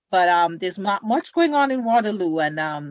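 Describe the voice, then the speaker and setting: A woman speaks in a Jamaican accent. Her intonation is lively. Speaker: community group secretary. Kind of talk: interview.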